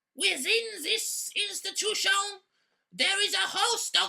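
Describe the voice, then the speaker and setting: The clip is a cartoonish character voice with very wide pitch swings. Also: woman. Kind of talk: mock-epic fairy-tale narration. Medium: puppet show. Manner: grandiose, dryly comic.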